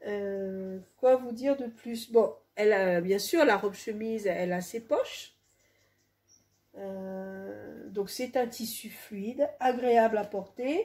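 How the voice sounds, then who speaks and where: This woman talks very slowly. Her voice sits fairly high. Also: ordinary pitch variation. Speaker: home sewer. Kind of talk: casual talk to camera.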